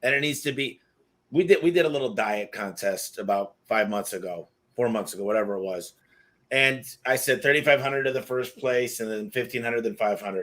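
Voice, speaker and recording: With an ordinary speaking voice at medium pitch, a man talks at a fairly quick pace with lively intonation in a very clean recording with a silent background. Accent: American. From Michigan, US. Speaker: podcast host. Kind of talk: interview conversation.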